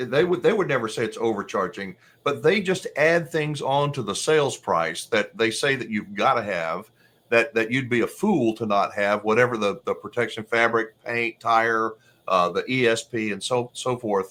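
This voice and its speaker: A man talks in a plain, everyday voice at medium pitch and a moderate pace, with lively intonation. The recording is very clean, with a silent background. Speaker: RV channel host interviewer. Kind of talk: interview host questions and commentary.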